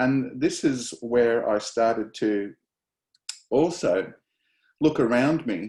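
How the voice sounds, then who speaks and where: This man has a medium-pitched voice and speaks with an Australian accent. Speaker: professor. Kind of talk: lecture. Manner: halting, many fillers.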